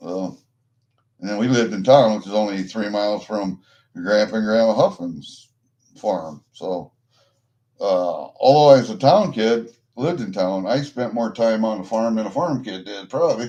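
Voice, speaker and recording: A man with a Midwestern American accent speaks at a moderate pace with ordinary pitch variation. His voice is fairly low, with a dark, mellow tone. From US Midwest, Iowa. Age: 60s. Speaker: livestreamer, coin collector. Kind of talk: casual chat. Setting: livestream. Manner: rambling, profane.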